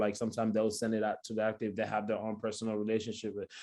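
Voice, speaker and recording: In a West African accent, a man speaks with a quiet background behind him. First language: not English. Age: 20s. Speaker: photographer. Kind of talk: talk with Q&A. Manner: fast.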